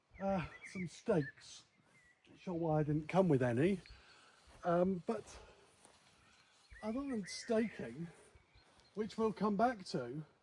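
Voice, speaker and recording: Speaking very slowly with a British accent, a man with a high pitch and a dark, mellow tone uses lively intonation, big swings in loudness, and long, frequent pauses. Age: 60s. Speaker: vlogger. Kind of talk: casual vlog commentary.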